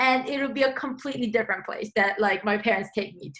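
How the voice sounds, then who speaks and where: Her voice is high-pitched with a bright, sharp tone, clearly a woman's. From South Korea. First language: Korean. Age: 20s. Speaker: composer. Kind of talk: interview. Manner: casual, many fillers.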